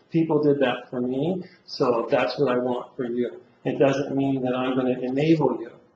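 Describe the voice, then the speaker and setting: A man with a medium pitch talks over noticeable background noise, with audible room echo. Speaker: college teacher. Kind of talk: lecture. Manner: loud; fast.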